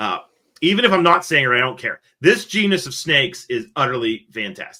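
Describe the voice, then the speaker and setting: A man is speaking. His tone is bright and sharp. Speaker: podcast host, reptile keeper. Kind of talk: casual podcast discussion. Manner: casual, filler-heavy with repetitions.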